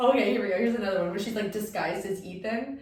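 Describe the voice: Someone reads the text aloud in a plain way.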